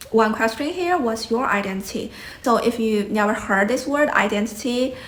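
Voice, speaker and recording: With a Chinese accent, a woman speaks at a moderate pace in a fairly high voice with ordinary pitch variation and very even loudness, amid noticeable background noise and audible room echo. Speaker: YouTuber. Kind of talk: casual vlog talk.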